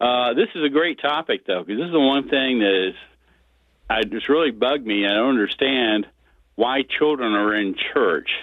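A man talks at a moderate pace with an American accent. He has a normal speaking voice, medium pitch and ordinary pitch variation. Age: 60s. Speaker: caller. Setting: phone call.

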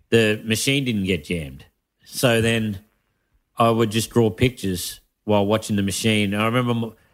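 Heard on a very clean recording with a silent background, the speaker talks at a moderate pace with an Australian accent. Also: man. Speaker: stand-up comedian. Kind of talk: casual chat.

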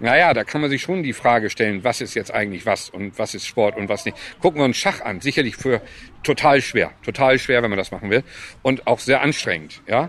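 At a fairly quick pace, a man speaks at medium pitch with lively intonation. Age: 50s. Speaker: sports club chairman. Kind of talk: interview. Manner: halting.

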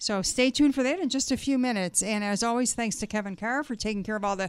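A woman with a normal speaking voice at a fairly high pitch, with ordinary pitch variation, in a very clean recording against a silent background. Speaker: radio host. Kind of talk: radio interview. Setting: radio studio.

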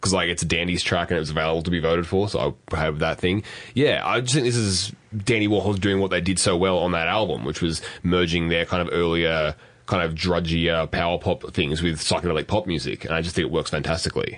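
A man's very deep, low voice at a very fast pace, with ordinary pitch variation and very even loudness. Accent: Australian. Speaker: podcast co-host. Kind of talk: casual chat.

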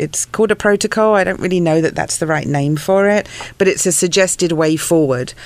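Speaking fairly quickly, a woman with an English accent keeps her intonation fairly even. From England. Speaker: pastor. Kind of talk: interview. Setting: studio.

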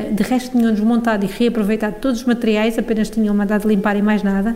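With a European Portuguese accent, a woman speaks at a very fast pace in a fairly high, monotone, flat voice against noticeable background noise. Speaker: newspaper deputy editor. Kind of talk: casual chat.

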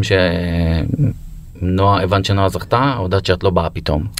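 A man with a very deep, low pitch at a fairly slow pace, against noticeable background noise. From Israel, Be'er Sheva. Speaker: podcast host. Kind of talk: interview conversation.

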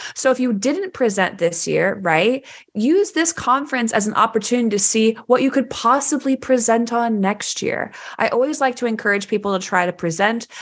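A woman with an American accent at a moderate pace, her intonation lively. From Texas, Dallas. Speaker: developer podcast co-host, tech company employee. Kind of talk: casual chat. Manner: loud.

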